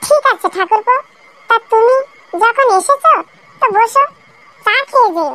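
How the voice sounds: A woman puts on a squeaky, cartoonish character voice at an extremely high pitch, speaking at a moderate pace.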